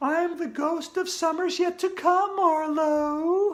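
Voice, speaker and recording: The speaker's put-on character voice sits at an extremely high pitch and moves at a fairly slow pace. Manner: spooky, ominous.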